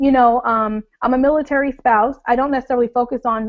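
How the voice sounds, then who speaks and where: A woman in a New York accent, high-pitched with monotone, flat intonation, over a quiet background. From US Northeast (Long Island, New York). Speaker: blogger. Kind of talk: webinar talk. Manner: fast; informal.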